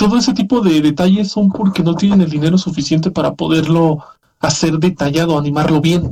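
Here is a man with a high pitch and ordinary pitch variation. He talks at a fairly quick pace and very even loudness. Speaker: podcast host. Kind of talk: casual chat.

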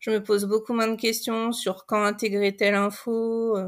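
A woman at a fairly high pitch on a very clean recording with a silent background. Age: 40s. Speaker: novelist. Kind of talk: podcast interview.

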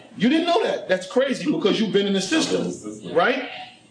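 Over noticeable background noise, a man speaks in a New York accent. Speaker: podcast host, ex-prisoner. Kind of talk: casual chat.

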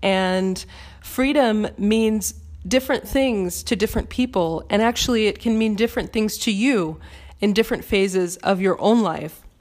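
A woman with an American accent speaks in a normal speaking voice at a moderate pace, her loudness very even. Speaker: podcast host. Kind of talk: solo spiritual Q&A talk, reading a listener question then answering. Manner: warm, encouraging, conversational.

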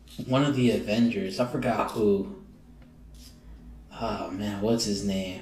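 With audible room echo and noticeable background noise, a man at a medium pitch talks fairly slowly with ordinary pitch variation and long, frequent pauses. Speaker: podcast host. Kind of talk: casual chat. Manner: stuttering.

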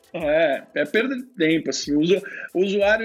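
Music plays in the background. A man with a high pitch speaks with very wide pitch swings. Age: 30s. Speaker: tech executive and startup founder. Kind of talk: interview.

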